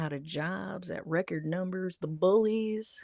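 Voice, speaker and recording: Recorded very cleanly against a silent background, a woman speaks with a medium pitch and ordinary pitch variation, the sound dry and close with no echo. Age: 50s. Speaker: online commentator. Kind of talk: live stream monologue. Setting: livestream. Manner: slow; halting.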